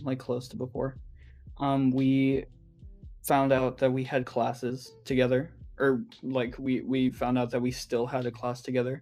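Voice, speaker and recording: With music in the background, a man speaks in a monotone, flat manner at a medium pitch and a fairly slow pace. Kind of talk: casual podcast conversation.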